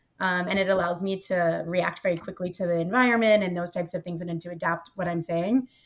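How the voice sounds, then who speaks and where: Here a woman with a fairly low voice talks very fast. She hardly pauses, and background noise is noticeable. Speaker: market research professional. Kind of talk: casual chat.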